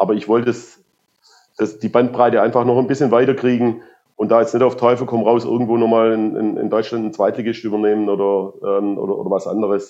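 Speaking fairly quickly in a monotone, flat delivery, a man with a medium pitch has a dark, mellow tone. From Swabia, southern Germany. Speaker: football coach. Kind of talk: interview.

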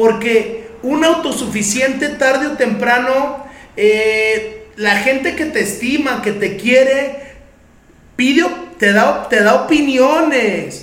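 At a very slow pace, a man with a Mexican accent speaks at an extremely high pitch with ordinary pitch variation, amid noticeable background noise and audible room echo. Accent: Mexican Spanish (Jalisco). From Mexico, Guadalajara. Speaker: recovery group sponsor sharing testimony. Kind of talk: testimony.

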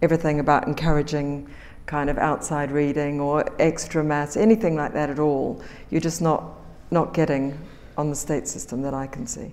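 A woman's very deep, low voice at a moderate pace, with a New Zealand accent. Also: fairly even intonation. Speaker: magazine editor. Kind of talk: panel talk.

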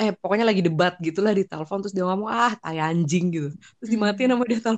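Very fast and animated, a woman speaks at a medium pitch with ordinary pitch variation, her sound dry and close with no echo. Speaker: guest sharing personal experiences of a toxic relationship. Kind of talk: casual chat. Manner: animated, laughs often.

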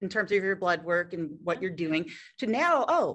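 A woman speaks with a Philadelphia accent. The background is quiet. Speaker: fitness entrepreneur. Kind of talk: interview.

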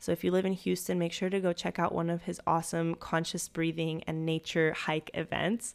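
Fairly low-pitched woman's voice, fairly quick and monotone, with flat intonation, on a very clean recording with a silent background. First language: Spanish. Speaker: life coach and yoga instructor podcast host. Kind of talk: solo podcast monologue.

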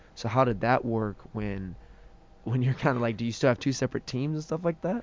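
A man speaks at a medium pitch in a plain, everyday voice. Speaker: college baseball player and podcast host. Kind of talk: casual interview.

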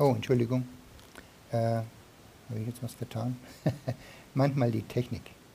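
A man's medium-pitched, dark and mellow voice, somewhat breathy and monotone, at a moderate pace with long, frequent pauses. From Germany, Franconia. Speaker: visiting preacher. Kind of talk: sermon. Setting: church.

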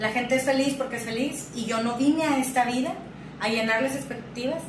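Amid noticeable background noise and audible room echo, a woman speaks at a fairly quick pace with fairly even intonation. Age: 30s. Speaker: therapist and business owner. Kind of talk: interview conversation. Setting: office.

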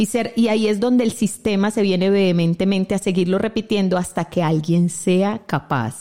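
A woman with a dark, mellow tone speaks at a fairly quick pace and medium pitch, her pitch varying in an ordinary way. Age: 40s. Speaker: radio host and family constellations therapist. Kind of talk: reflective talk show conversation. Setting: online radio studio.

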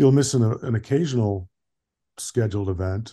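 Somewhat breathy and fairly low, a man's voice has a dark, mellow tone at a moderate pace over a quiet background. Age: 60s. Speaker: emergency physician and masters cyclist. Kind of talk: casual interview.

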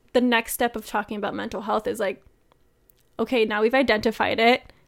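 In a very clean recording with a silent background, a woman speaks at a fairly quick pace with a fairly high pitch in a normal speaking voice. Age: 20s. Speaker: podcast co-host. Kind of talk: casual chat.

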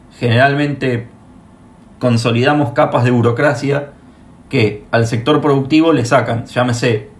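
A man with a medium pitch speaks fairly slowly in a monotone, flat way, with audible room echo and noticeable background noise. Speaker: podcast host. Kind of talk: interview.

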